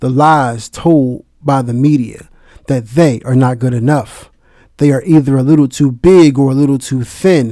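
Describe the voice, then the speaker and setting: Fairly even intonation and a moderate pace come through on a very clean recording with a silent background. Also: man, medium pitch for a man. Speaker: spoken word poet. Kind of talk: spoken word poem, dedicated tribute with a short spoken intro. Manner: impassioned, earnest, heartfelt; emphatic, rhythmic, with rhyming cadence.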